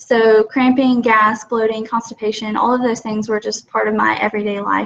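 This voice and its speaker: A woman speaks in a fairly high pitch. Her intonation is flat and monotone over noticeable background noise. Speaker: product ambassador. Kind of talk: testimony. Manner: fast; halting, many fillers.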